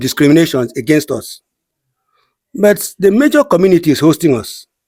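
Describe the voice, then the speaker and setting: The speaker is a man. He talks with a Nigerian accent. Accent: Nigerian Igbo English. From Nigeria, Cross River State (Igbo community). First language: Igbo. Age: 60s. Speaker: community leader. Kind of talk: interview.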